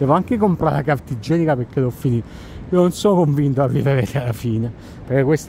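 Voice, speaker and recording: Over light background noise, a man talks at a fairly quick pace with ordinary pitch variation, in a dry recording with no echo. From Italy. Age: 40s. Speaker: travel content creator and tour operator; travel vlogger. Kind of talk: casual walking monologue vlog. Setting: outdoors, walking at night in Times Square. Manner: conversational, rambling. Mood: relaxed, reflective. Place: street. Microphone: phone near.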